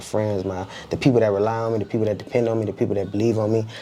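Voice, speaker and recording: Over noticeable background noise, a man with an American accent speaks in a fairly low pitch and a monotone, flat intonation. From Compton, Los Angeles. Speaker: entrepreneur and rapper. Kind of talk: casual podcast interview. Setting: studio.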